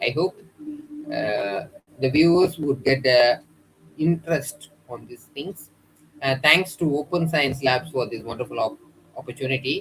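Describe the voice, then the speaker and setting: Pausing long and often, a man talks at a fairly slow pace in a fairly high voice with ordinary pitch variation. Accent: Indian. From India. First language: an Indian language. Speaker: lecturer. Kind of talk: lecture. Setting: YouTube livestream. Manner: halting, frequent uh fillers.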